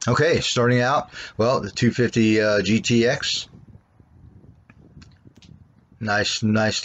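At a very slow pace, a man speaks with fairly even intonation. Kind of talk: casual walkaround tour. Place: street. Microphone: phone near.

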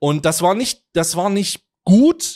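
An animated tone comes through against a quiet background. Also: man. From Germany. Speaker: news reaction streamer. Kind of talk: casual commentary. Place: home room. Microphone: studio mic.

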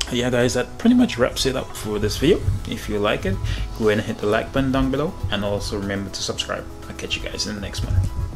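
A man talking at a very fast pace, with clear music in the background. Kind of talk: casual vlog chat. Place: office. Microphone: phone near.

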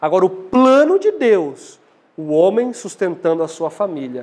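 This man's pitch sits high and his intonation is lively. He talks at a fairly slow pace. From Brazil. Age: 20s. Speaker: lay preacher. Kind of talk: sermon. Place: church. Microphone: lapel.

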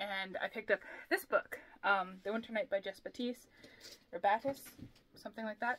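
A woman's bright, sharp tone at a fairly quick pace, with ordinary pitch variation. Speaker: book vlogger. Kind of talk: casual vlog chat. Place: home room. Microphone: camera far.

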